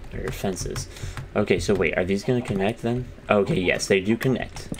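Over noticeable background noise, a man with a medium-pitched voice speaks at a moderate pace. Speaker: gaming YouTuber. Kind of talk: casual gameplay commentary. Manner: animated, chatty.

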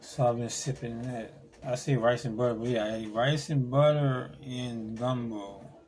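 Audible room echo hangs around the voice. The man talks at a moderate pace. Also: medium pitch for a man. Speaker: vlogger. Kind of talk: casual vlog monologue. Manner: halting.

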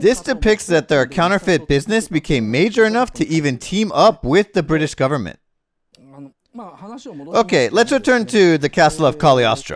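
A man speaks at a moderate pace in a high voice that swings very widely in pitch. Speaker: cultural commentator lecturer. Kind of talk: lecture. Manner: conversational, slightly informal.

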